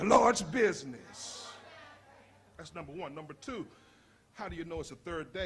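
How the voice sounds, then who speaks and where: A man with a high voice and lively intonation speaks amid audible room echo. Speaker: pastor. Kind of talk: sermon. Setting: church. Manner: loud; animated.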